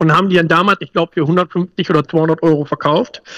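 A man's bright, sharp voice sits high in pitch, with ordinary pitch variation and a dry, close sound that has no echo. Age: 40s. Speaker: emergency planning consultant. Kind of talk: casual interview.

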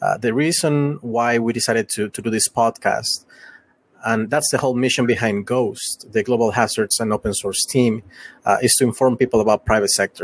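In a Latin American accent, a man speaks at a medium pitch, the sound dry and close with no echo. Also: fairly even intonation, moderate pace. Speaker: private sector intelligence analyst. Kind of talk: casual discussion. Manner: halting.

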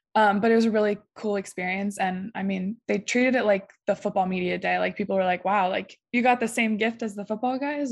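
A woman speaks with a Midwestern US accent at a medium pitch. The background is quiet. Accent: US Midwest. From Ohio, small town. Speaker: college volleyball player. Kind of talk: interview.

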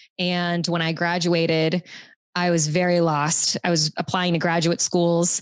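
A woman's fairly low, monotone voice at a fairly slow pace, with a dry, close sound with no echo and very even loudness. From US South, Louisiana. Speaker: sex and relationship coach. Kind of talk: casual chat.

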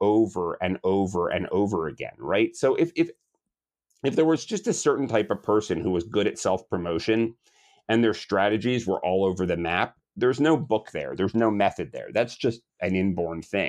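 With a normal speaking voice, a man talks at a moderate pace, his fairly low pitch carrying lively intonation against a quiet background. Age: 40s. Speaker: marketing agency founder and author. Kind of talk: interview.

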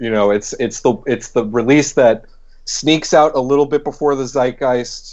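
Using a plain, everyday voice, a man talks at a moderate pace with fairly even intonation. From Boston, US Northeast. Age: 20s. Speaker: podcast co-host. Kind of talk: casual chat.

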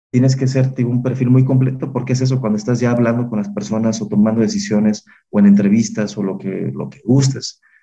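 A man with a Mexican accent, a dark, mellow tone and medium pitch, at a fairly quick pace with ordinary pitch variation and hardly any pauses. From Mexico, Salamanca (Guanajuato). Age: 20s. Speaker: political candidate. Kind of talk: interview.

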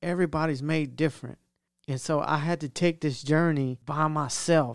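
Someone with a Louisiana accent speaks with ordinary pitch variation on a very clean recording with a silent background. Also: man. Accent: Louisiana Southern US. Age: 40s. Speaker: podcast co-host. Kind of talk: casual chat. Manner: halting, repetitive.

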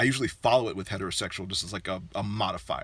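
This man has a bright, sharp tone with vocal fry. He speaks at a very fast pace. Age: 40s. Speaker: sex educator. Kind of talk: casual chat.

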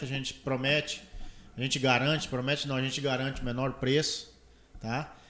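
His pitch fairly high, the man moves along at a moderate pace. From Brazil, Mato Grosso (Confresa). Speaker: solar energy entrepreneur. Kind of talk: casual interview. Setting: studio, live stream.

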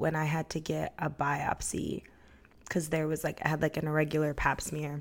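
A woman with an American accent speaks at a fairly quick pace in a plain, everyday voice, her pitch fairly low. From Brooklyn, New York. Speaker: podcast co-host. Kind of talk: casual chat.

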